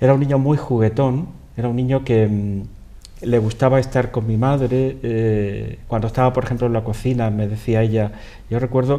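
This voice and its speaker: Flat and monotone, a man's dark, mellow voice sits at medium pitch and moves at a moderate pace. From Andalusia, Spain (Cantillana, Seville). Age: 50s. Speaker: interview guest. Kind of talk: interview. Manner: halting, many repetitions.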